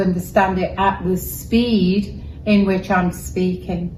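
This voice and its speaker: With a Welsh accent, a woman of medium pitch speaks fairly slowly in a monotone, flat intonation, with audible room echo. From Wales. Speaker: journalist. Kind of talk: interview. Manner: measured, articulate.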